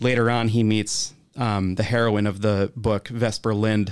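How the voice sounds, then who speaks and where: With an American accent, a man speaks in a fairly low pitch, monotone and flat in intonation. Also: very clean recording, silent background. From Wisconsin, US Midwest. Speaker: bartender and bar manager. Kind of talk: casual interview chat. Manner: hesitant, many fillers and repeated words.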